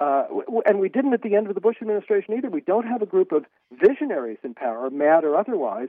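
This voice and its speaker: A man with an American accent talks at a very fast pace in a high voice, his pitch swinging very widely. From US. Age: 60s. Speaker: author and editor. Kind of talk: interview. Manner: halting, many repetitions.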